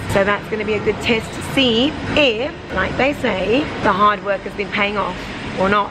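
A woman speaks with ordinary pitch variation. There is noticeable background noise. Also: moderate pace. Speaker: fitness vlogger. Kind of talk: casual vlog chat. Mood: playful, self-deprecating. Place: gym. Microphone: phone near.

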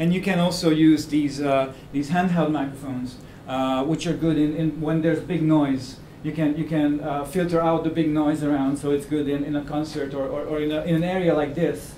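A man speaks at a moderate pace in a monotone, flat intonation. Light background noise and audible room echo surround him. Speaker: presenter. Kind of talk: lecture. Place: meeting room. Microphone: camera far.

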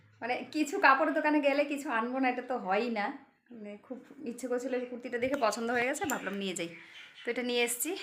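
A woman speaks in an animated tone with a high pitch. Her pitch varies in an ordinary way. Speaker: vlogger. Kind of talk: casual vlog narration. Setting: on the move, in an e-rickshaw. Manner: animated, chatty.

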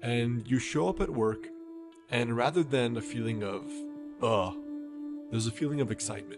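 Lively intonation from a man with a medium pitch, with music in the background. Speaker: meditation guide. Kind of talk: guided meditation.

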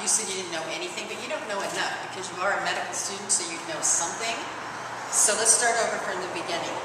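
Amid loud background noise and audible room echo, a woman talks at a very fast pace. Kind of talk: acted role-play dialogue.

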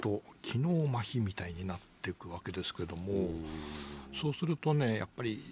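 Over light background noise, a man speaks in a fairly low, somewhat breathy voice with very wide pitch swings, the sound dry with no echo. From Japan, Toyama; Japan. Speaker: economist and news commentator; economist commentator on radio news. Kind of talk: radio news commentary. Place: studio.

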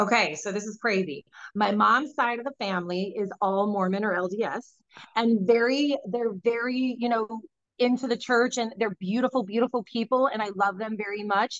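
The woman's fairly high voice moves at a moderate pace with ordinary pitch variation, recorded dry with no echo against a quiet background. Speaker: psychic medium and author. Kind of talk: casual interview conversation. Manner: high energy, matter-of-fact. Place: home room. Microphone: video call.

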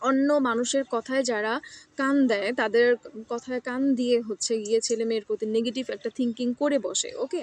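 A woman with a Bangladeshi accent has a high voice with ordinary pitch variation. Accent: Bangladeshi Bengali. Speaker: international student vlogger. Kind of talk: personal vlog monologue. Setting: outdoors in a campus garden. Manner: halting with pauses.

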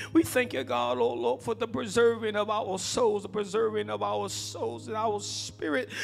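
A man speaks at a moderate pace with faint music in the background. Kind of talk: spoken prayer. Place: church. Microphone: handheld.

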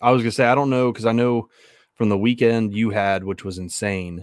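A man's voice sounds dry, with no echo, against a quiet background. His intonation stays fairly even. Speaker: podcast co-host. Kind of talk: casual podcast conversation. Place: home room. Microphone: studio mic.

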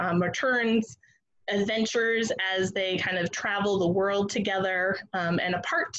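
A woman's unremarkable speaking voice, fairly slow, with ordinary pitch variation against a quiet background. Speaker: museum educator. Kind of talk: educational webinar presentation. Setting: video call. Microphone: video call.

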